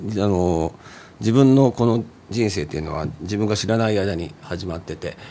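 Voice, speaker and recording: Ordinary pitch variation shapes a man's speech. His pitch is very deep and low. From Nagoya, Japan. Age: 50s. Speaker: singer-songwriter, former street musician. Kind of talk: casual chat.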